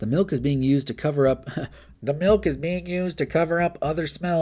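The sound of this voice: Doing a put-on character voice, a man talks very fast in a nasal, fairly high-pitched tone.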